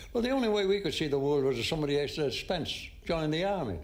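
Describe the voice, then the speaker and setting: A man with an Irish accent speaks at a very fast pace in a fairly high pitch with lively intonation. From Ireland. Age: 90s. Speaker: war veteran. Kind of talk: interview answer.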